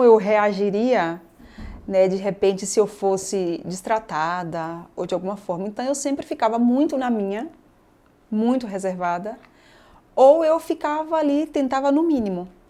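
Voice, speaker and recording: In a dark, mellow tone, a woman speaks at a fairly high pitch with lively intonation and a moderate pace, on a very clean recording with a silent background. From Bahia, Brazil (Northeast). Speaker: state government secretary, politician. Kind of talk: interview conversation.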